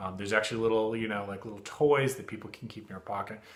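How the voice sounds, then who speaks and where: This man rattles along at a very fast pace while noticeable background noise fills the recording. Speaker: therapist. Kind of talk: tutorial. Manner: halting.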